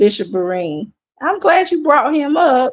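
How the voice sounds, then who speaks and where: In an American accent, a woman speaks at a fairly slow pace. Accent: Southern accent, comes and goes. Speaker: church commentary livestreamer. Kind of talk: casual livestream chat. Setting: live stream. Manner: animated, repetitive.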